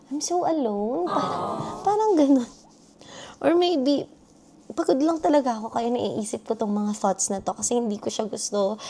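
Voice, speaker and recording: Very wide pitch swings at a moderate pace, with noticeable background noise behind the voice. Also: woman, high pitch for a woman. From Philippines. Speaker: vlogger, international student. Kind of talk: personal vlog.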